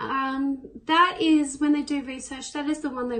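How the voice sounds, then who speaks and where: This woman speaks with a high pitch and an Australian accent. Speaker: person with cystic fibrosis. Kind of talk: interview answer. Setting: self-recorded on own device.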